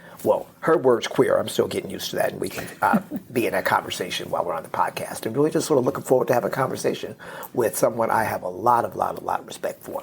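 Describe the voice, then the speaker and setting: Whispering in an American accent, a man speaks at a very fast pace. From US Midwest, Cincinnati, Ohio. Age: 60s. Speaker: author and consultant. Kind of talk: interview.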